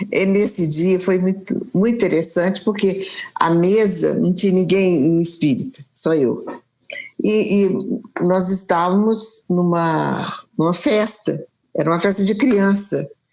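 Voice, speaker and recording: A woman speaks at medium pitch and a fairly slow pace. Her loudness stays very even, with ordinary pitch variation. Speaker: spiritist speaker. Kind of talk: interview in a live stream. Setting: live online stream. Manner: halting, many repetitions.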